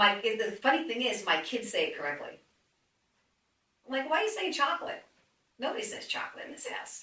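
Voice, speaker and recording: With a New Jersey accent, a woman with a high pitch speaks at a fairly quick pace in a raised, projected voice, her pitch swinging very widely between long, frequent pauses. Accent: New Jersey, noticeable. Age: 60s. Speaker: fitness trainer. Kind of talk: casual chat. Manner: animated.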